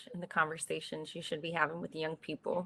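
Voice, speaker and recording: A woman with an American accent, fairly low pitch, vocal fry and a bright, sharp tone, at a moderate pace with fairly even intonation. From US Northeast, North Philadelphia. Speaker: tech professional, panelist. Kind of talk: panel discussion.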